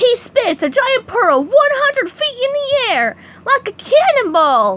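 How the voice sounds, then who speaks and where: A loud, squeaky put-on character voice from a woman, extremely high in pitch with very wide pitch swings, at a fairly slow pace. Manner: loud, announcing.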